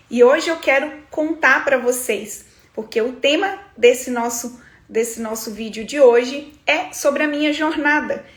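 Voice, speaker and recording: With audible room echo, a woman speaks at a fairly slow pace in a high voice with ordinary pitch variation. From Brazil, Minas Gerais. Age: 30s. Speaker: eyebrow studio entrepreneur and business coach. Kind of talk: livestream talk to viewers, personal story. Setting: livestream.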